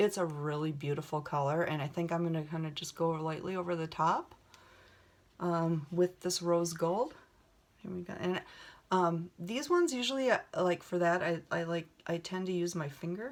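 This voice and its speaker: With a Minnesota accent, a woman speaks at a moderate pace in a fairly low pitch with ordinary pitch variation. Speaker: beauty vlogger. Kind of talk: makeup tutorial chat. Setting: home video set. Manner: casual, many fillers.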